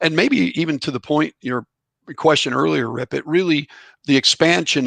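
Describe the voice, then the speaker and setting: A man with an American accent speaks with vocal fry and lively intonation. His tone is bright and sharp, and the sound is dry and close with no echo. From Illinois, Chicago suburbs. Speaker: former college baseball player and author. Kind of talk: interview. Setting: podcast. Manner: halting.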